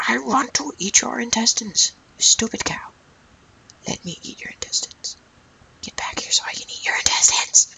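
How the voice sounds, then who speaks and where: In a put-on character voice that is raspy and fairly high-pitched, the speaker keeps a moderate pace broken by long, frequent pauses. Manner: menacing, hungry.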